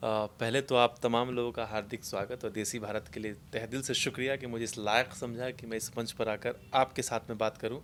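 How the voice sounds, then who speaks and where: Speaking at a moderate pace with hardly any pauses, a man holds a medium pitch in a flat, monotone delivery. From Mithila region, Bihar, India. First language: Maithili (speaking Hindi). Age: young. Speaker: film actor. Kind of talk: interview.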